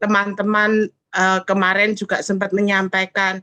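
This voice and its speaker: A woman speaks at a fairly slow pace in a shrill voice with a bright, sharp tone, recorded with a dry, close sound and no echo. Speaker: fellowship participant sharing testimony. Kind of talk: testimony.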